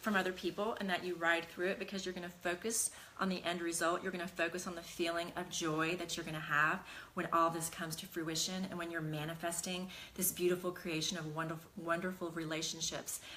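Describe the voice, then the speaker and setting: A woman talks fairly quickly in a fairly low register while noticeable background noise plays behind her. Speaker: talk show host and life coach. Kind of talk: casual chat with viewers; live-streamed motivational talk. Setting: studio, Facebook Live stream. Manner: fast at the start, calmer later.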